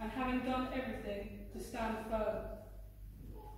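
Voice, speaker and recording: Strong room echo over light background noise. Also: woman. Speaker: scripture reader. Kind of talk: scripture reading. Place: church. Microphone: camera far.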